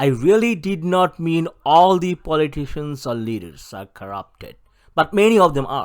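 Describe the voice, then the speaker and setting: In a South Asian accent, a man talks at a moderate pace and a fairly high pitch, with very wide pitch swings and big swings in loudness. The recording is very clean, with a silent background. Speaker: political activist. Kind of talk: recorded presentation. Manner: formal.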